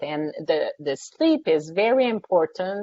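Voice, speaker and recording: A woman speaks with a French accent. Her pitch sits in the medium range. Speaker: sleep scientist and psychology professor. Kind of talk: webinar Q&A answers.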